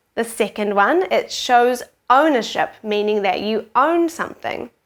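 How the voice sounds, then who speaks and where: Speaking in a New Zealand accent, a woman uses a fairly high pitch and lively intonation at a fairly slow pace. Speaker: teacher. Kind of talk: tutorial. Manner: clear, slow explanatory pace for kids.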